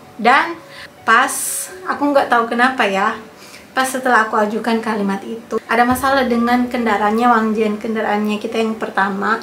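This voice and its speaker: With audible room echo and noticeable background noise, a woman speaks in a fairly high voice with fairly even intonation. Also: fairly quick pace. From Indonesia, Manado (North Sulawesi). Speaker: vlogger. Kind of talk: casual storytelling vlog.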